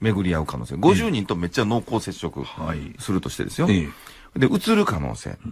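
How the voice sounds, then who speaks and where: In a Kansai accent, a man with a fairly low pitch and vocal fry talks at a fairly quick pace in an animated tone, his pitch swinging very widely. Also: quiet background. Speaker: engineering professor. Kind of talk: radio commentary. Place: studio. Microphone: studio mic.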